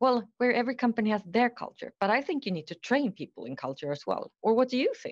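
Fairly quick speech with vocal fry, a dry, close sound with no echo, and a quiet background. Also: woman. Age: 50s. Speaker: HR executive. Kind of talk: interview.

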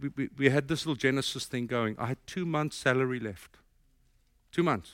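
A man with a South African accent and a fairly high pitch, speaking with long, frequent pauses on a very clean recording with a silent background. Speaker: pastor. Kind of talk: sermon. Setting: church.

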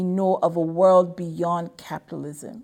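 The speaker has a plain, everyday voice and talks at a moderate pace. The recording is very clean, with a silent background. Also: woman. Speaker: show announcer. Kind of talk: scripted narration.

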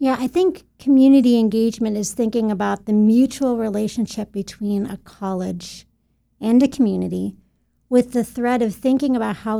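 A woman with an American accent speaks at a fairly high pitch and a moderate pace, with ordinary pitch variation. Her tone is dark and mellow on a very clean recording with a silent background. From western upstate New York (Buffalo). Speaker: college administrator and educator. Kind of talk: interview conversation.

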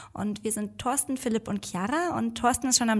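Speaking at a fairly quick pace, a woman with medium pitch and ordinary pitch variation shows vocal fry. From Germany. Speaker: marketing staff and podcast host. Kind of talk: casual chat.

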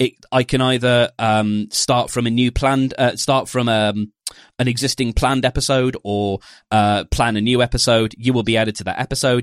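A man with a British accent speaks at a fairly quick pace and a medium pitch. His pitch varies in an ordinary way, and the sound is dry and close with no echo. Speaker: podcast host and podcast platform developer. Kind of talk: casual chat. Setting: remote call.

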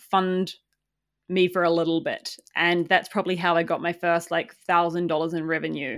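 Speaking at a moderate pace, a woman with a fairly low pitch talks in a New Zealand accent. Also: very clean recording, silent background. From New Zealand, small farming town. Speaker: community founder. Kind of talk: casual interview.

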